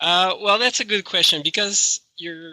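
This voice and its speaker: A voice with a bright, sharp tone and a French-Canadian accent speaks at a moderate pace, recorded dry and close with no echo. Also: man. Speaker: chiropractic researcher and professor. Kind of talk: interview. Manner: halting.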